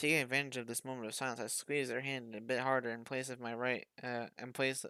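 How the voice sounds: What comes through is a natural reading voice.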